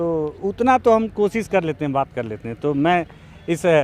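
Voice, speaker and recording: A man is speaking here. His pace is moderate. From India, Bastar, Chhattisgarh. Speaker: local journalist and video host. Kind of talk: street interview vlog.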